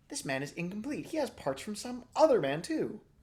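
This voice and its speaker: A man's put-on character voice, high-pitched and fairly quick, with very wide pitch swings. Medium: read story. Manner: sulky.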